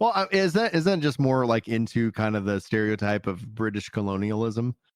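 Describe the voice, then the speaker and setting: This man speaks with a Texas accent. His intonation is lively. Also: medium pitch for a man, fairly quick pace. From Texas, Fort Worth. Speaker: comedian. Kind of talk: casual chat. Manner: halting.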